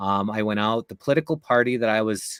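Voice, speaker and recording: A man with a Canadian accent at a moderate pace. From Canada. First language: Czech/Slovak. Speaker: guest, former political candidate. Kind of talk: interview conversation.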